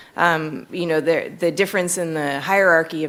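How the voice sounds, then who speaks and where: In an American accent, a woman with a very deep, low pitch speaks at a fairly quick pace, her intonation fairly even and her voice showing vocal fry. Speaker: economist, panel speaker. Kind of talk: conference panel discussion.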